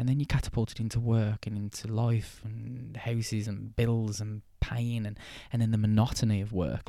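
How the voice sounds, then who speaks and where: In a very clean recording with a silent background, a man speaks at a moderate pace with an English accent. His tone is dark and mellow, his pitch fairly low, and his intonation fairly even. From England. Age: 20s. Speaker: podcast host. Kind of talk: casual monologue. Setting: outdoors. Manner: halting.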